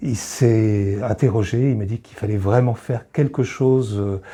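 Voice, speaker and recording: Speaking at a fairly slow pace, a man has a dark, mellow, somewhat breathy tone with ordinary pitch variation. The background is quiet. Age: 60s. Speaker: charity volunteer, retiree. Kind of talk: interview testimony. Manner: hesitant, many filler pauses.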